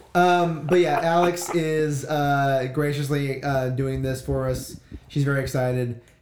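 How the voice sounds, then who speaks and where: A man's fairly high voice at a fairly slow pace, fairly even in intonation, over noticeable background noise. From Louisiana (Baker/Zachary area). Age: 30s. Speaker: musician. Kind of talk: casual chat.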